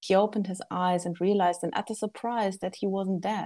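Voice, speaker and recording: A woman's dark, mellow, medium-pitched voice with a German accent, fairly quick in pace, over a quiet background. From Germany. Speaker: author and game writer. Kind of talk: casual interview chat.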